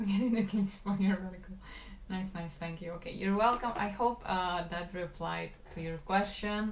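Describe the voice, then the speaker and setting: A woman speaks at medium pitch and a moderate pace, her intonation fairly even. Her loudness swings widely, and room echo is audible. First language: Spanish. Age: 20s. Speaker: animator and livestreamer. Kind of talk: casual livestream chat while working. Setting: livestream.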